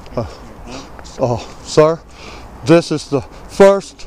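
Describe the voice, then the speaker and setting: A man's fairly high voice with ordinary pitch variation, a dry sound with no echo and light background noise. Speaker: homeless military veteran. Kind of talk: casual talk to camera. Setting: outdoors. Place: street. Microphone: phone near.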